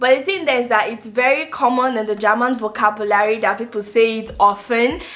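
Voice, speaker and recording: Her voice is high and has a bright, sharp tone, and this woman speaks with a Nigerian accent and ordinary pitch variation. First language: Igbo. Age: 20s. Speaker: vlogger and nursing student. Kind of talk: casual vlog talk to camera.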